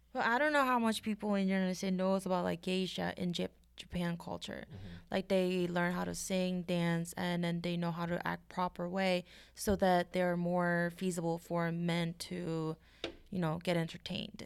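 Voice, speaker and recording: A woman with a Korean accent, fairly low in pitch, at a moderate pace with fairly even intonation, in a very clean recording with a silent background. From South Korea. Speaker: podcast co-host. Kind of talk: casual chat. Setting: studio.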